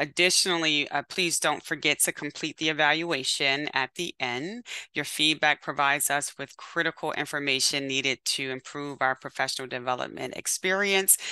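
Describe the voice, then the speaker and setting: Against a quiet background, a woman with a very deep, low pitch and a bright, sharp tone speaks at a moderate pace with hardly any pauses, ordinary pitch variation, and a dry sound with no echo. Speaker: webinar host. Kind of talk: event introduction and welcome remarks. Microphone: webcam.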